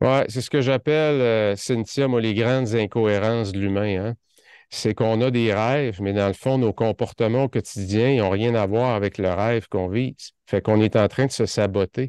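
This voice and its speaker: A man with a Quebec accent speaks at a moderate pace with fairly even intonation. The sound is dry with no echo, and the background is quiet. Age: 50s. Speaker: productivity consultant; podcast guest. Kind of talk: interview podcast. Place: office. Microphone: studio mic.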